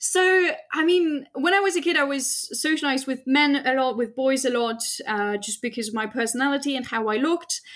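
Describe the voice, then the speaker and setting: A woman with a high pitch, a slight French accent, ordinary pitch variation and a fairly quick pace. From France. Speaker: astrophysicist. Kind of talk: interview.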